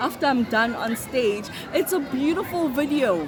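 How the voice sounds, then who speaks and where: High-pitched woman's voice with audible room echo and crowd noise in the background. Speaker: vlogger. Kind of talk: casual vlog talk to camera. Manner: halting, repeated words.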